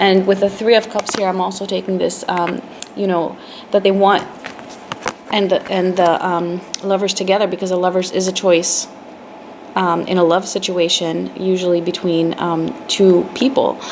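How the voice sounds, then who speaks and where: A woman at medium pitch, monotone and flat, with noticeable background noise. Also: moderate pace. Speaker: tarot reader. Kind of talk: tarot reading. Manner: hesitant, many fillers.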